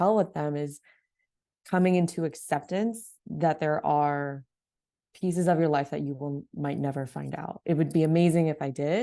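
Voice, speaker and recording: A woman with an American accent speaks at a moderate pace in a very deep, low pitch and a dark, mellow tone. Her pitch variation is ordinary, and the background is quiet. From US Midwest, Ohio. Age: 20s. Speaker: adoptee panelist. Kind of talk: casual chat.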